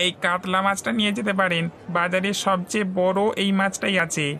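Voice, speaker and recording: At a moderate pace, a female-sounding cartoonish character voice at a middle pitch speaks over clear background noise. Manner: persuasive, obliging.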